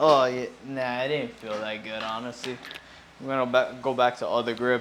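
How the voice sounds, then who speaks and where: Mumbling at a moderate pace, a man speaks in a medium pitch with monotone, flat intonation, with noticeable background noise and audible room echo. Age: 20s. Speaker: fitness vlogger. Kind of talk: casual gym vlog.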